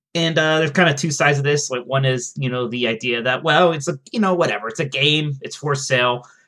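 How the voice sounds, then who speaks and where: A man's fairly high, bright, sharp voice at a very fast pace, with ordinary pitch variation and hardly any pauses. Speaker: games journalist co-host. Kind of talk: casual banter.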